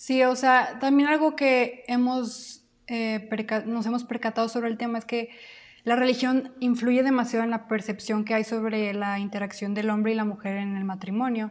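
A woman with an unremarkable speaking voice talks at a moderate pace and fairly high pitch, her intonation fairly even. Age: 20s. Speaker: podcast co-host, university student. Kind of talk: casual chat.

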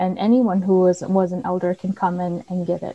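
Heard dry and close with no echo, a woman with an American accent speaks in a plain, everyday voice at medium pitch and a moderate pace. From St. Paul, Minnesota. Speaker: university multicultural affairs director. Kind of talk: interview.

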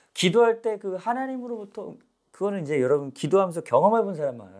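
The man's voice is high-pitched. He speaks at a very fast pace. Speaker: pastor. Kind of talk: sermon. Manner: animated.

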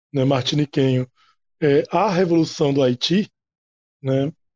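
Fairly high-pitched male voice at a fairly slow pace, ordinary pitch variation, dry and close sound with no echo. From Natal, Rio Grande do Norte, Brazil. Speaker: university lecturer, history. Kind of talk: panel discussion. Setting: recorded at night, table podcast.

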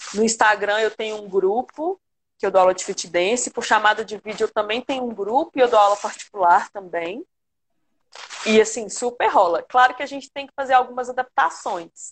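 An unremarkable speaking voice moves at a moderate pace with ordinary pitch variation and big shifts in loudness. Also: woman, fairly high pitch for a woman. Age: 30s. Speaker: dance teacher. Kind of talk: casual interview. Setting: live stream video call.

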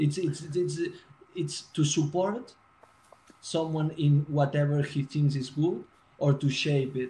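A man with a fairly high pitch and a dark, mellow, somewhat breathy tone talks very slowly with fairly even intonation and long, frequent pauses. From Spain, Barcelona. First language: Spanish or Catalan. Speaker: music production student. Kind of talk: casual chat. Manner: halting.

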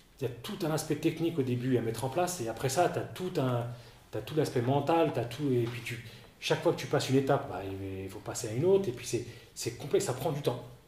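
Very fast speech from a man at medium pitch with ordinary pitch variation, audible room echo and noticeable background noise. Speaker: former baseball player and coach. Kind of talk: interview. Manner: halting, many repetitions.

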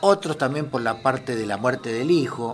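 This man has a plain, everyday voice. His delivery is moderately paced and his intonation lively. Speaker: historian and history teacher. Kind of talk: radio interview.

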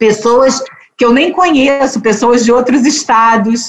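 A plain, everyday voice from a woman, fairly high-pitched, at a fairly slow pace. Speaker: judge and author. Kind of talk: interview conversation.

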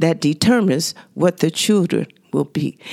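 Here a woman speaks with a Southern US accent and lively intonation. The sound is dry and close, with no echo. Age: 70s. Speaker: senior center member, widow. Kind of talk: interview.

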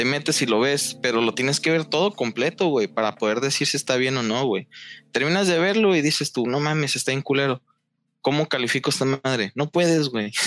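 An ordinary speaking voice, a man talks at a fairly quick pace and fairly high pitch with ordinary pitch variation and very even loudness, in a very clean recording with a silent background and a dry, close sound with no echo. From Mexico. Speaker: meme creator. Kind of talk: casual chat.

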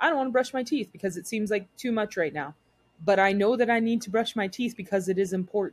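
With an American accent, the words come out at a very fast pace. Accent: slight Southern, usually suppressed. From Texas. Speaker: podcast co-host. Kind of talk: casual chat.

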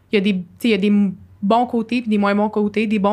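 Speaking at a fairly quick pace, a woman with a medium pitch keeps a monotone, flat intonation in a very clean recording with a silent background. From Quebec, Sherbrooke. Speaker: university student. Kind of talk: podcast interview, personal testimony.

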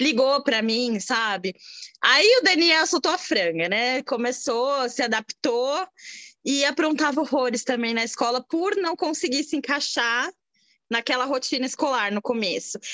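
A raised, projected voice with lively intonation moves at a fairly slow pace in a dry, close sound with no echo. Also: woman, high pitch for a woman. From Brazil. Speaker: immigrant mother. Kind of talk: casual interview chat. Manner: halting.

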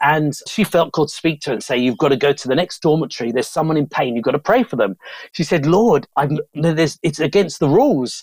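Talking at a very fast pace in a London accent, a man with a fairly high pitch uses lively intonation, the sound dry and close with no echo. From southeast London, England. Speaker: evangelist and missionary. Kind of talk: interview testimony.

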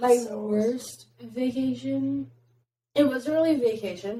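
Her voice is dark and mellow, somewhat breathy, and the woman's pitch swings very widely. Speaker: podcast host. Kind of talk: casual chat.

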